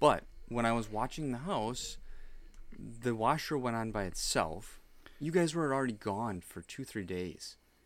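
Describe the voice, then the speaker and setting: In a very clean recording with a silent background, a man at a medium pitch talks at a fairly slow pace with lively intonation. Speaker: podcast co-host. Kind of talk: casual chat. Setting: home basement studio. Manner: stumbling over words.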